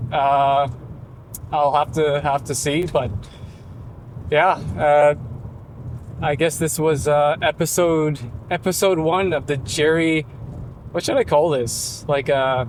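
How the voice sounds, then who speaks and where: The delivery has a very slow pace. Long, frequent pauses break it up. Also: man, fairly high pitch for a man, fairly even intonation. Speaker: vlogger. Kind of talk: casual monologue while driving. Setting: in a car. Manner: halting, many fillers and stutters.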